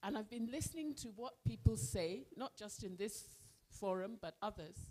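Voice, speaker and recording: A woman speaks at a fairly slow pace with a dark, mellow tone and vocal fry. Her pitch swings very widely. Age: 70s. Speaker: audience member at business forum. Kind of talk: public forum comment. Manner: halting.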